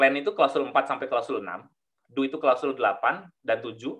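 The background stays quiet as a man talks. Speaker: management systems auditor; webinar presenter. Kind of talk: webinar presentation. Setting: video call. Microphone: headset problem, audio dropped out; video call.

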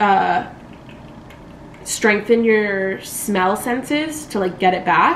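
A woman speaks at a very slow pace. The recording carries audible room echo and light background noise. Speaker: vlogger. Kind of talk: casual vlog chat. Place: home room. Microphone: camera far.

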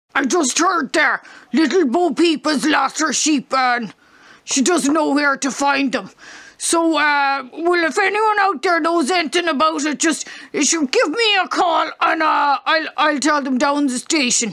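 A woman performs a cartoonish character voice. Her pitch is high and her intonation lively. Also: moderate pace. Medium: puppet.

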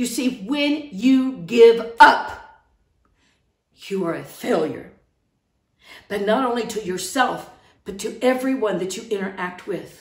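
A woman with an American accent speaks at a very slow pace with long, frequent pauses. Her loudness swings widely, and there is audible room echo over a quiet background. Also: fairly high pitch for a woman, ordinary pitch variation. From outside the United States. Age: 60s. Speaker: online preacher. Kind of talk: sermon. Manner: earnest, impassioned. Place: home room. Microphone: phone near.

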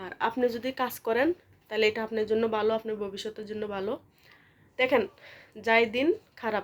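This woman's voice sits fairly high in pitch. Her intonation is fairly even. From Bangladesh, Comilla. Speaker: vlogger. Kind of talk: casual vlog talk and advice. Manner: casual, hesitant with fillers.

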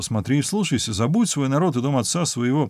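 A man talks at a moderate pace. The background is quiet, and the sound is dry with no echo. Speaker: professor, Bible commentator. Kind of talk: scripture reading with commentary. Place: home room.

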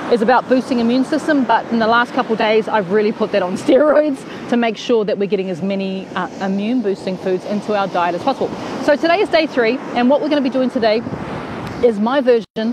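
Fairly quick speech from a woman, dry with no echo, over noticeable background noise. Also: ordinary pitch variation. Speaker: cooking show host. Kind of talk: casual live stream chat. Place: beach. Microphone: earbuds.

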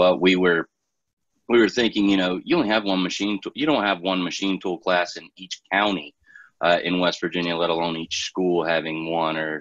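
A man with a very deep, low pitch speaks with fairly even intonation. The sound is dry with no echo, and the background is quiet. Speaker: state education STEM coordinator; presenter. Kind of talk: online professional development workshop. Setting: video call. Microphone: video call.

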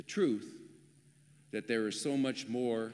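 A man talks at a very slow pace with ordinary pitch variation. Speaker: deacon preaching. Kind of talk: sermon. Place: church. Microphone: podium.

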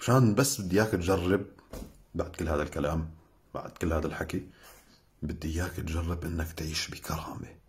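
At a moderate pace, a man talks in a very deep, low, somewhat breathy voice with ordinary pitch variation. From Syria. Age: young. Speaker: Syrian activist; social media commentator. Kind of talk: sarcastic video commentary. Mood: scornful, lecturing, indignant. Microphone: phone near.

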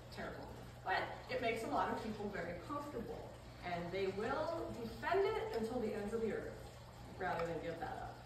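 With big pitch swings, a woman speaks amid audible room echo and clear background noise.

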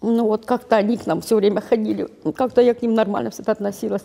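A woman talks with very wide pitch swings. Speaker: interviewee. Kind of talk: emotional appeal. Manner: impassioned. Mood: grieving, crying, angry. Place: hall.

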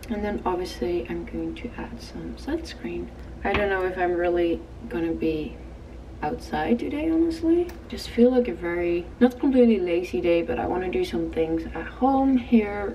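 Over light background noise, a woman speaks at a moderate pace with big swings in loudness. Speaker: lifestyle vlogger. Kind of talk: casual vlog chat. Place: home room. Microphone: phone near.

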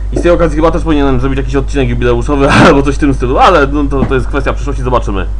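A man rushes along at a very fast pace with hardly any pauses. Noticeable background noise sits behind him. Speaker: YouTube host on game show history. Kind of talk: solo video commentary. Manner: hesitant, with fillers.

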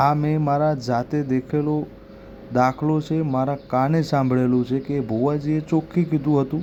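This man speaks at a fairly high pitch for a man, with noticeable noise in the background. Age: young. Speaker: YouTube devotional channel host. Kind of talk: explainer talk to camera.

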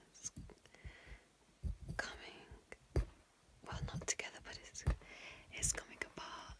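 Whispering at a fairly slow pace, a woman keeps a relaxed, playful tone and leaves long, frequent pauses. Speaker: ASMR content creator. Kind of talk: ASMR roleplay talk to camera. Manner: relaxed, casual, playful.

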